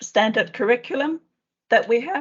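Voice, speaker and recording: The speaker has a Danish accent and lively intonation. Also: woman. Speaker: education official. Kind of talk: panel discussion. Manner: halting.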